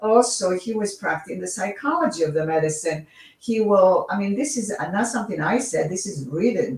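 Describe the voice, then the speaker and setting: A woman with a Greek accent at a medium pitch and moderate pace, with very wide pitch swings. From Greece. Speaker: author and reiki teacher. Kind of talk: interview. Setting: livestream. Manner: halting.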